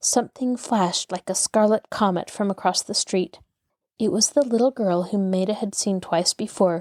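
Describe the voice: Against a quiet background, the plain reading aloud shows ordinary pitch variation.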